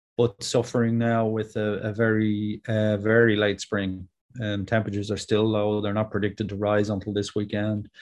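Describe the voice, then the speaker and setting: A man talks in a Dublin accent at a fairly slow pace. His voice is fairly low, with monotone, flat intonation. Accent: Dublin Irish. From Ireland, Dublin. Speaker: farmer. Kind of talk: interview. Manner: hesitant, many fillers.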